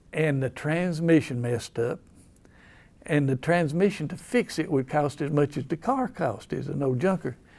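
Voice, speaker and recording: In an Appalachian accent, a man with a fairly high pitch and a somewhat breathy voice speaks on a very clean recording with a silent background. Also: ordinary pitch variation, moderate pace. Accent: Southern US, Appalachian. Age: 70s. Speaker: local historian. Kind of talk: storytelling. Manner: folksy, halting.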